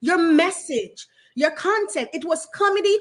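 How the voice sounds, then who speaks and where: The speaker is a woman with a Jamaican accent. She talks at a moderate pace. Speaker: talk show host. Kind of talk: casual interview conversation.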